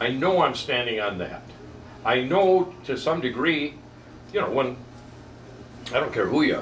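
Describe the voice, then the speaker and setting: Amid noticeable background noise and audible room echo, a man speaks at a fairly high pitch and moderate pace with lively intonation and long, frequent pauses. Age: 70s. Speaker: barber. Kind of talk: casual chat. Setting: barber shop. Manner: animated.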